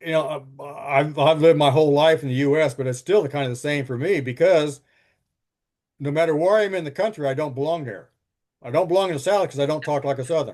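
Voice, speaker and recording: Talking at a very fast pace, a man uses a fairly high voice. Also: ordinary pitch variation. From US West. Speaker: teacher. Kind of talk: lecture; casual chat. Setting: classroom, recorded. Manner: halting, many repetitions.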